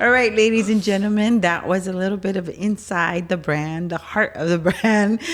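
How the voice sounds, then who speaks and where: The speech moves at a moderate pace with hardly any pauses. Intonation stays fairly even. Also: woman, medium pitch for a woman. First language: Spanish. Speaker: podcast host and business owner. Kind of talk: casual chat.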